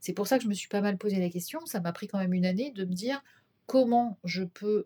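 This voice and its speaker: A woman at medium pitch has a dark, mellow, somewhat breathy tone and ordinary pitch variation, recorded with a dry, close sound and no echo. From Brittany, France. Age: 50s. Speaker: shopkeeper and naturopath. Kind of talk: interview. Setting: her office. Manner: hesitant, many fillers.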